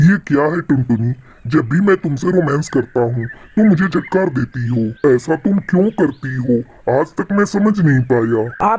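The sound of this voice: This man uses a cartoonish character voice, pitched fairly high, and talks at a moderate pace.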